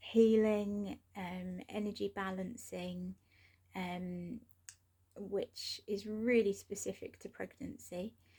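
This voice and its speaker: Very slowly, a woman speaks in a dark, mellow tone that is somewhat breathy, with fairly even intonation and big swings in loudness. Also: medium pitch for a woman. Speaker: doula trainer. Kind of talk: course overview talk. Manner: hesitant with fillers.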